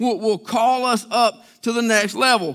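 At a moderate pace, a man uses a raised, projected voice set at an extremely high pitch. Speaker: pastor. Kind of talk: sermon. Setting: church. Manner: plain-spoken, conversational, Southern-style preaching.

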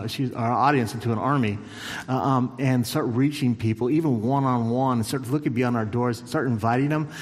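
A man of medium pitch at a fairly quick pace, with ordinary pitch variation, audible room echo and noticeable background noise. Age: 50s. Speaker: church superintendent. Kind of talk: church stage interview.

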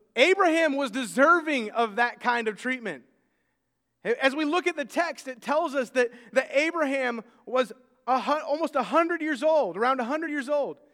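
Speaking at a moderate pace, a man with an extremely high pitch and a bright, sharp tone uses ordinary pitch variation. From United States. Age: 30s. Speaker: pastor. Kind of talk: sermon. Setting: church.

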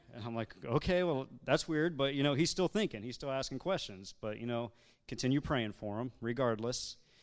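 With an ordinary speaking voice, a man talks at a moderate pace and medium pitch, his intonation lively, in a very clean recording with a silent background. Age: 30s. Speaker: church member on missions team. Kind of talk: church testimony talk. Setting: church service.

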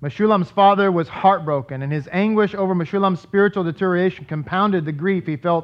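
Reading aloud in an unaffected voice

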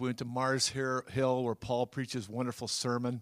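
A plain, everyday voice moves at a moderate pace on a very clean recording with a silent background. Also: man. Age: 60s. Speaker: church ministry leader. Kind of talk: testimony. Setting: church.

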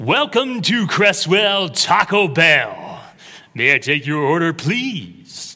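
A man uses a put-on character voice at a high pitch. He talks at a very slow pace. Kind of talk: refined, oratorical.

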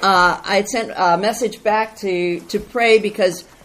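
Noticeable background noise surrounds the recording. A woman speaks with fairly even intonation. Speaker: church member reporting on mission trip. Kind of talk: testimony. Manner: loud.

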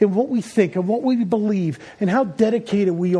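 The pitch varies in an ordinary way throughout this natural reading voice.

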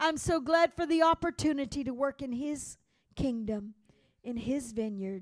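This woman's speaking tone is animated. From Louisiana, Cajun. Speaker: missionary. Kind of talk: sermon. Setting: church.

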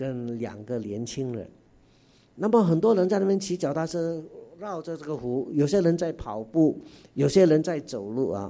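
A man's dark, mellow voice at a moderate pace, with very wide pitch swings and big swings in loudness. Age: 60s. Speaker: guest preacher. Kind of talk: sermon. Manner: animated.

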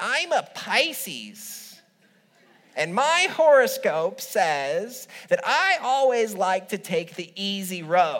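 A woman's put-on character voice, nasal and fairly high, with very wide pitch swings at a very slow pace.

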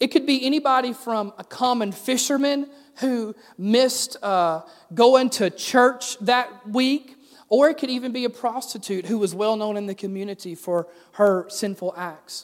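At a moderate pace, a man with a Southern US accent speaks at an extremely high pitch, with ordinary pitch variation. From US South. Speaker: pastor. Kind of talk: sermon.

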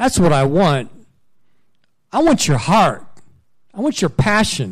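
The man's voice is somewhat breathy. His pitch swings very widely. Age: 50s. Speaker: missionary. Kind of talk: sermon.

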